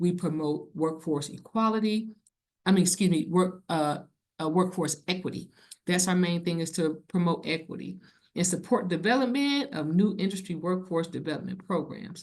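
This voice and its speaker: Here a woman speaks with a fairly low pitch. Her pitch varies in an ordinary way. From US Midwest, Cleveland, Ohio. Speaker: federal civil rights program manager. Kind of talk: conference presentation. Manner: fast.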